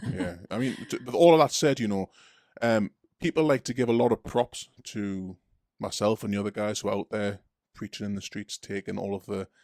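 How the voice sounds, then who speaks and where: Recorded very cleanly against a silent background, a man with a Geordie accent speaks at a fairly quick pace, his fairly low pitch showing ordinary variation. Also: dry, close sound with no echo. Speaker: street preacher and podcast host. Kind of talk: casual chat.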